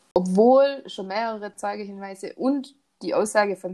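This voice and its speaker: This woman has a medium pitch and speaks with a Swabian accent. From Swabia, southern Germany. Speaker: true crime podcast host. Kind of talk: casual storytelling. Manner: hesitant, many fillers.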